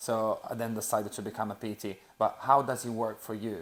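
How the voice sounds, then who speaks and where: A man with an Italian accent speaks at medium pitch. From Sicily, Italy. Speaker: personal trainer. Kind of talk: casual podcast chat.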